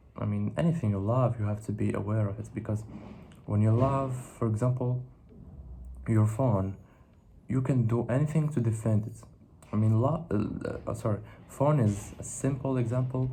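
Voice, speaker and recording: With a dark, mellow tone and a somewhat breathy medium pitch, a man speaks at a moderate pace with ordinary pitch variation and long, frequent pauses, in a room with audible echo. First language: not English. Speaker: philosophy video creator. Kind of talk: monologue reflection to camera. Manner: halting, with self-corrections and fillers.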